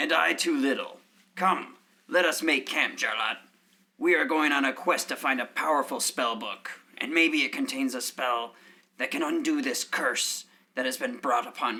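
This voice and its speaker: A raspy, put-on character voice from a man, fairly high in pitch, at a moderate pace. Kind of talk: mock-heroic fantasy speech. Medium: audio drama.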